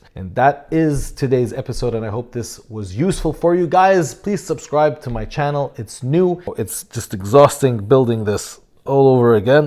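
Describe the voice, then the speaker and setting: A man of medium pitch speaks with an Arabic accent in a dark, mellow tone at a moderate pace. His intonation is lively, with hardly any pauses and big swings in loudness. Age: 30s. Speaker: fitness coach and YouTuber. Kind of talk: casual vlog talk to camera. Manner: halting, with fillers.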